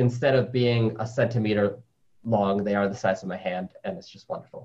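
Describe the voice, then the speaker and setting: Somewhat breathy and fairly quick, a man talks at medium pitch with ordinary pitch variation. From New York City. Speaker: spider scientist. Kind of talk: interview. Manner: animated.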